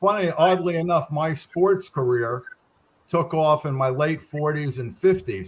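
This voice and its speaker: A normal speaking voice talks at a moderate pace with ordinary pitch variation. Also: man. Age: 60s. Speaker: author and guest. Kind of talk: casual chat.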